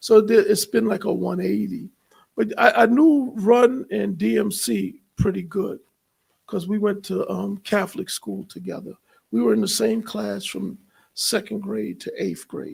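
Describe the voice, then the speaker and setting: With a New York accent, a man speaks at a fairly slow pace. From New York City, Queens. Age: 60s. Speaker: content creator and entrepreneur. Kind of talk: livestream interview conversation.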